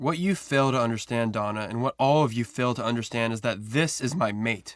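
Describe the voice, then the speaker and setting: Putting on a growling character voice at a medium pitch, a man talks at a fairly quick pace. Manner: snarling, commanding.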